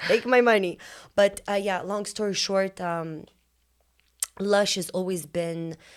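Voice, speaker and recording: Speaking with an Eastern European accent, a woman uses a medium pitch and fairly even intonation. Her pace is fairly slow, broken by long, frequent pauses. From Lithuania. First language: Lithuanian. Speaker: business owner. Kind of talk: casual interview.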